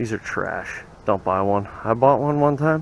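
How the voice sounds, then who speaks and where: A man talks in an animated tone at a medium pitch. Noticeable background noise can be heard. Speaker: DIY car mechanic youtuber. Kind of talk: casual tutorial. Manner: casual, animated.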